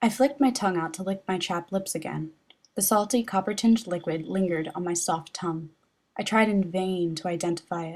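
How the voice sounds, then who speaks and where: Here is an ordinary speaking voice from a woman at medium pitch, with ordinary pitch variation. She talks at a fairly quick pace on a very clean recording with a silent background. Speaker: author reading her own novel, not a professional narrator. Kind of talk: audiobook narration of a novel chapter.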